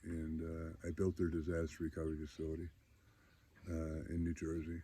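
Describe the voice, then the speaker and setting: A man speaks at a moderate pace with an American accent, his pitch very deep and low. His dark, mellow, somewhat breathy tone stays monotone and flat. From upstate New York (Syracuse). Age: 60s. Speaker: data center entrepreneur sharing recovery story. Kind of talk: personal testimony. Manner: halting, many fillers.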